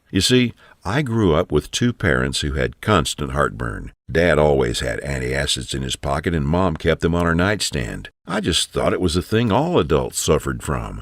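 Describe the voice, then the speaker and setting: Vocal fry runs through a man's very deep, low voice at a moderate pace. His pitch swings very widely, and the sound is dry and close with no echo. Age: 60s. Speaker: sales pitch narrator. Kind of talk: sales pitch.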